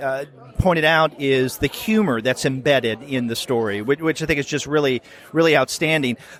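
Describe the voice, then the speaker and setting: A man with an American accent, fairly high pitch and ordinary pitch variation at a moderate pace, with noticeable background noise. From US South. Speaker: podcast host. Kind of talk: interview. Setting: convention floor.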